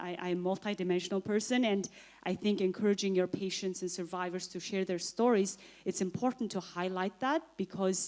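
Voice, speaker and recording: A woman talks at a fairly quick pace with a Mongolian accent. Her pitch sits in the medium range, and her intonation stays fairly even. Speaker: author and TB survivor. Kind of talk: panel answer at conference.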